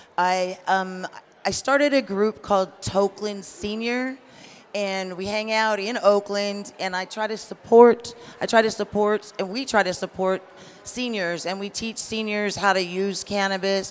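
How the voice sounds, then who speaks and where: In an ordinary speaking voice, a woman at medium pitch talks at a fairly slow pace with fairly even intonation. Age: 60s. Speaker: cannabis educator. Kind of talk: panel discussion.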